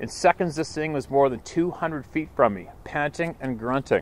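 Pitch varies in an ordinary way as a man talks at a moderate pace. There is a dry sound with no echo. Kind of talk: personal account read aloud. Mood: earnest, steady storytelling. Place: waterside.

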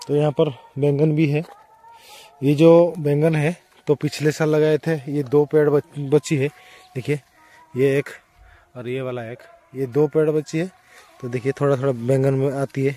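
A man talks at a fairly slow pace, leaving long, frequent pauses. His intonation is monotone and flat, and the sound is dry with no echo. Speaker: village vlogger. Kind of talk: casual vlog chat. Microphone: phone near.

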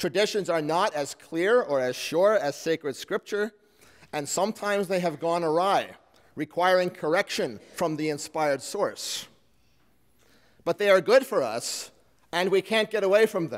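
At a moderate pace, a man talks in a high pitch with ordinary pitch variation. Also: quiet background. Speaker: pastor. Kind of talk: sermon. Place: church. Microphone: podium.

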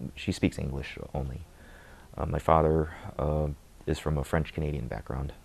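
A man with a Midwestern accent speaks in a very deep, low voice with vocal fry, fairly even intonation, and long, frequent pauses. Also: moderate pace. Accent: general American, Midwestern. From US Midwest (Michigan). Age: 20s. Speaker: convert to Islam. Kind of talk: testimony. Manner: hesitant, many filler words. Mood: calm, reflective. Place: home room. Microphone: lapel.

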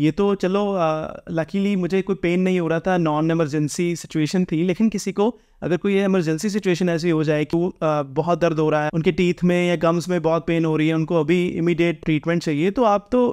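Here a man talks at a high pitch with fairly even intonation and very even loudness. The background is quiet. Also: moderate pace. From India. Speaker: vlogger. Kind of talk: informal explainer vlog. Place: home room.

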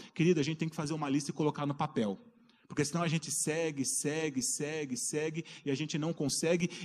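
In an animated tone, a man with fairly high pitch talks at a fairly quick pace with ordinary pitch variation. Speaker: preacher. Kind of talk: sermon. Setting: church. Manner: animated, fervent preacher in full flow, calling out to the congregation; rising, exhortative cadence with rhetorical questions and repeated 'queridos'. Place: church.

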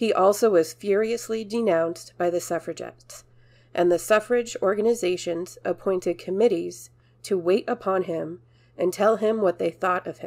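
It's a normal speaking voice at a moderate pace with ordinary pitch variation. The recording is very clean, with a silent background. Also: woman, medium pitch for a woman. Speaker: narrator reading a historical speech. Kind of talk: reading aloud a 1910 anti-suffrage speech, formal oratory.

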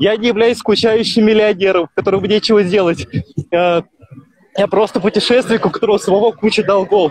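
Over a quiet background with a dry sound and no echo, a man talks at a moderate pace in a high pitch with fairly even intonation. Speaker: long-distance walker and charity fundraiser. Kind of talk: live interview. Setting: outdoors, walking by a highway on a mobile video call. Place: open country. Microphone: 3G mobile connection; phone near.

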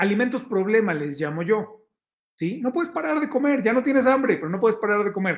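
At a fairly quick pace, a man with a Mexican accent talks over a quiet background. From Mexico, Oaxaca. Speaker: health magazine director and show host. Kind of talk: live-stream talk to viewers, health advice. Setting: live stream reading chat comments. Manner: conversational, with filler hesitations. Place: home room. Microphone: phone near.

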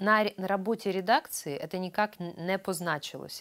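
Against a quiet background, a woman speaks at a fairly low pitch and a fairly slow pace. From Ukraine. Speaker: chief editor of a news publication. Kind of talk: interview. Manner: animated. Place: studio. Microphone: lapel.

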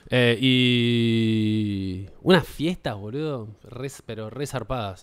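A man in a Rioplatense accent, with ordinary pitch variation. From Buenos Aires, Argentina; Argentina. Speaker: podcast host. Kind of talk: casual comedy chat. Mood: playful, storytelling, joking. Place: studio. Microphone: studio mic.

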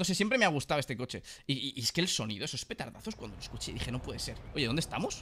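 A man speaks very fast in a fairly high, bright, sharp voice with vocal fry, an animated tone and very wide pitch swings, over light background noise. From Spain. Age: 30s. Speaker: gaming YouTuber; gaming streamer. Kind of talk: casual gameplay commentary.

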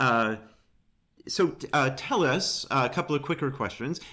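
The voice has a bright, sharp tone and lively intonation, moving at a very slow pace. Long, frequent pauses break it up against a quiet background. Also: man, very even loudness. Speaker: church communications staff and interviewer; interviewer. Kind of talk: interview. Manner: hesitant, many fillers. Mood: warm, reverent. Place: home room. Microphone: video call.

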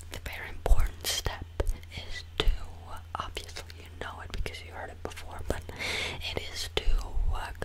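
A man whispering at a moderate pace. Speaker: video creator. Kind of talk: playful direct-to-camera monologue. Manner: close-mic ASMR whisper. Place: home room. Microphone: studio mic.

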